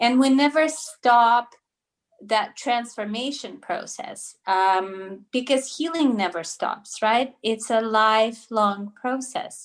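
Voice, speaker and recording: The background is quiet as a woman talks with a Russian accent. Her pace is very slow. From Russia, later Toronto, Canada. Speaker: naturopathic doctor. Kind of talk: interview. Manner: hesitant, many fillers.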